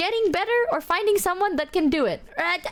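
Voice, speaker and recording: A woman with an Indonesian accent speaks at an extremely high pitch. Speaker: vtuber streamer. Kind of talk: casual livestream chat.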